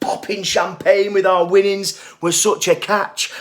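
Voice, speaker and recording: A man's monotone, flat delivery at a fairly slow pace, over noticeable background noise. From Northern England. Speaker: spoken word poet. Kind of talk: poetry reading.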